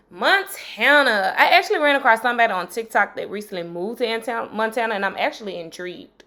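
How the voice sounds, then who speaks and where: A woman with a strong Mississippi accent, fairly high pitch, lively intonation and an animated tone. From Mississippi, US South. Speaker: history teacher and YouTuber. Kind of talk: casual educational video.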